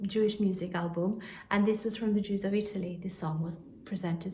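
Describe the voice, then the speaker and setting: With audible room echo, a woman talks at a moderate pace in a medium pitch and fairly even intonation. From Albania. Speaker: singer. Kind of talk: spoken introduction to a song.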